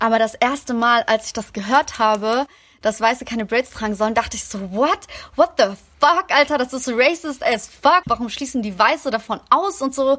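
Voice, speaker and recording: In a very clean recording with a silent background and a dry, close sound with no echo, a woman speaks at a moderate pace in a high pitch, her tone bright and sharp and her intonation lively. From Germany, Greek migrant working-class background. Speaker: podcast host. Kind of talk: casual chat.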